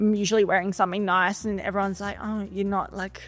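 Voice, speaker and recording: A woman with an Australian accent speaks at a very fast pace and a medium pitch. Her intonation is monotone and flat, with music in the background. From Sydney, Australia. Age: 20s. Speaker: employment consultant. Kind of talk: interview. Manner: casual, chatty.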